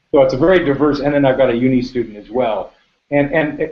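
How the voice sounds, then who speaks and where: This voice belongs to a man with an American accent. He talks at a fairly quick clip. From United States. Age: middle-aged. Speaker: business owner. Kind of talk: panel interview. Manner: halting.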